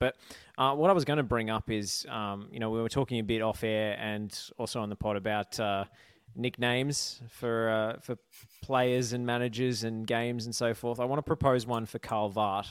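A man speaks in a normal speaking voice at a moderate pace. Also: very clean recording, silent background. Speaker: football journalist. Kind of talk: casual chat.

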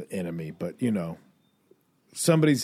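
On a very clean recording with a silent background, a man uses an ordinary speaking voice with a fairly low pitch and ordinary pitch variation. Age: 40s. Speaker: comedian and podcast host. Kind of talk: casual chat.

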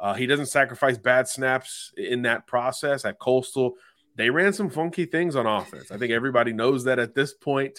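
In a very clean recording with a silent background, a man with an unremarkable speaking voice talks at a moderate pace, his medium pitch showing ordinary pitch variation. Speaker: college football analyst. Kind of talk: analytical sports talk, scouting breakdown.

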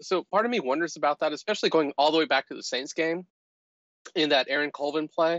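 A man's fairly high pitch pairs with a fairly quick pace. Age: 50s. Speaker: football podcast guest. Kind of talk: casual chat.

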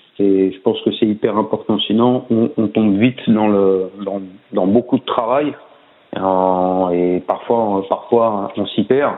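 A man's fairly low voice, very slow in pace, with fairly even intonation. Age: 40s. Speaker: swimming coach. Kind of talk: casual interview. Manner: hesitant, many fillers and repetitions.

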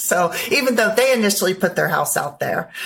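A woman with an unremarkable speaking voice talks at a fairly quick pace with ordinary pitch variation. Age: 50s. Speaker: guest, first-time real estate investor. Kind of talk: casual interview.

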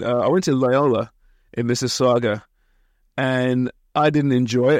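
Speaking at a moderate pace with an English accent, a man keeps a very even loudness and fairly even intonation, leaving long, frequent pauses. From England, Kent. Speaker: soccer broadcaster and podcast host. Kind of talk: interview. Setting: small office beside a studio.

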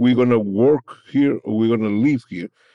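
With a Peruvian accent, a man speaks at a moderate pace in a medium pitch with a dark, mellow tone, the sound dry and close with no echo. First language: Spanish. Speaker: former migrant worker, labor advocate. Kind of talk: interview. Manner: halting.

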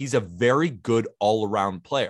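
A man with an ordinary speaking voice talks at a fairly slow pace, his medium pitch rising and falling with lively intonation. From California. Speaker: baseball podcaster. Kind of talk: casual chat.

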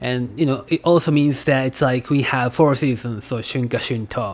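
A speaker with a Japanese accent talks at a moderate pace. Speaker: language teacher. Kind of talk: tutorial. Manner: halting.

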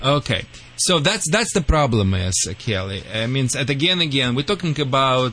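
A man with a Russian accent speaks at a moderate pace in a medium pitch, with very wide pitch swings. His tone is bright and sharp. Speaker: dog trainer. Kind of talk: radio call-in advice and banter. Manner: animated.

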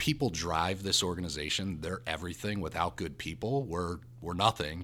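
A man with an American accent speaks at a moderate pace in a very deep, low pitch, his bright, sharp tone and lively intonation captured in a very clean recording with a silent background. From New Jersey. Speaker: company CEO. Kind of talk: casual interview chat.

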